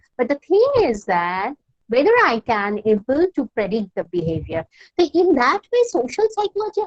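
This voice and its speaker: A woman with a Bengali accent is heard in a dry, close sound with no echo. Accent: Indian English, Bengali. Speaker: university counsellor. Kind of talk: lecture. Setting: online class. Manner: halting, repeated false starts.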